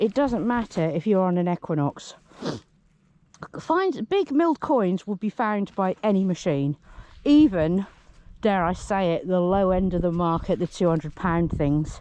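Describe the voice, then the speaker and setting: With a British accent, a woman speaks at medium pitch and a moderate pace, using lively intonation and a dark, mellow tone, in a dry, close sound with no echo. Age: middle-aged. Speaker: metal detectorist. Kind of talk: casual talk to camera.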